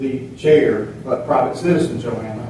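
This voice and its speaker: With an American accent, a man speaks amid noticeable background noise and audible room echo. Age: 70s. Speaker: local political candidate. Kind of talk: testimony. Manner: halting.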